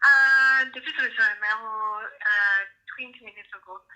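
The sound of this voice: A woman speaks at a fairly slow pace and a fairly high pitch, her tone bright and sharp and her intonation fairly even.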